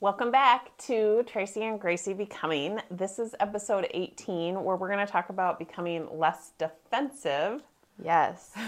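At a fairly slow pace, a woman with a normal speaking voice and medium pitch talks with ordinary pitch variation. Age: 50s. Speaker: podcast co-host, life coach. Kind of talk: casual chat.

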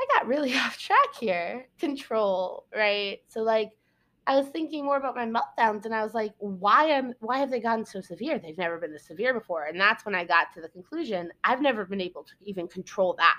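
Bright and sharp in tone, a woman talks at a fairly quick pace with a fairly high pitch and lively intonation. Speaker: podcast host. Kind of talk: casual monologue. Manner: rambling, filler-heavy.

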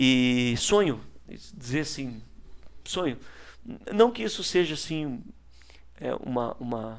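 Over a silent background in a very clean recording, a man delivers his words very slowly. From Paraná, Brazil (Ponta Grossa). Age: 30s. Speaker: politician. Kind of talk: casual interview.

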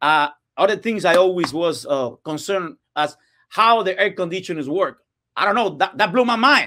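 Raised and projected, a man's voice with a Cuban accent rings high in pitch, with a bright, sharp tone and lively intonation, on a very clean recording with a silent background. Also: moderate pace. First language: Spanish. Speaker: real estate investor. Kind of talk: interview. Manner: halting.

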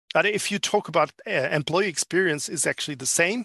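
Over a quiet background, a man with a French accent talks at a moderate pace with ordinary pitch variation. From France. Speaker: business consultant. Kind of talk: interview. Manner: halting.

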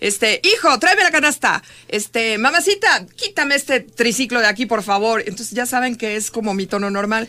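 Loud and bright with a sharp edge, a woman speaks at a fairly high pitch with lively intonation and hardly any pauses. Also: moderate pace. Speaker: radio host. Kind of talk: casual chat.

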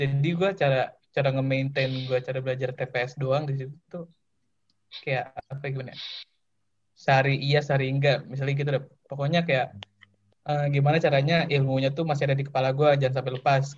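A man's somewhat breathy voice, fairly high in pitch, fairly quick, with monotone, flat intonation. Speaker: university student. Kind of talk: casual chat.

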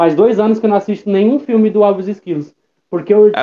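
High pitch from a man, dark and mellow in tone. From Brazil, Osasco, São Paulo. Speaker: DJ and social media creator. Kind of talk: interview. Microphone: recorded on headset, sometimes cutting out and distant.

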